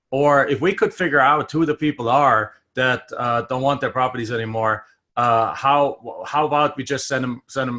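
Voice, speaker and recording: In a German accent, the speaker talks at a moderate pace with ordinary pitch variation and a bright, sharp tone. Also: man. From Germany. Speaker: real estate investor and trainer. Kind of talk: interview.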